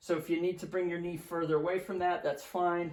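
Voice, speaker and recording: This man's pitch is high. He moves at a fairly quick pace. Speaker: physical therapist. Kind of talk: exercise tutorial. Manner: fast.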